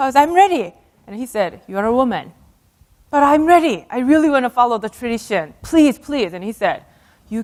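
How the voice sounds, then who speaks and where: Speaking at a fairly quick pace with a Korean accent, a woman uses a fairly high pitch, very wide pitch swings and big swings in loudness. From South Korea. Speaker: astronaut and speaker. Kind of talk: keynote talk with storytelling. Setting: stage with audience.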